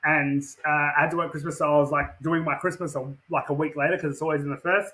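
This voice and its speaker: Speaking very fast, a man with an Australian accent keeps his intonation monotone and flat. His pitch is fairly high. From Western Australia. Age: 30s. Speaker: professional wrestler. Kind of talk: casual interview chat. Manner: repetitive, filler-heavy.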